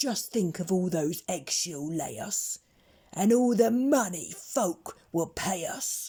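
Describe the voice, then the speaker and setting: A growling, put-on character voice moves fairly slowly through very wide pitch swings. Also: woman, medium pitch for a woman. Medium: read story.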